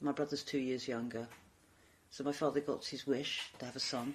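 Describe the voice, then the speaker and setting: In a London accent, a woman with a very deep, low pitch speaks at a fairly quick pace in a flat monotone. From London, Brixton. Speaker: former council leader and equalities consultant. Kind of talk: oral history interview.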